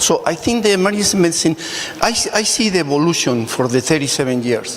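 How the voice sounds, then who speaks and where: A man speaks with a fairly high pitch and lively intonation. Noticeable background noise sits behind him. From Mexico. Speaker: emergency physician. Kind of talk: panel discussion.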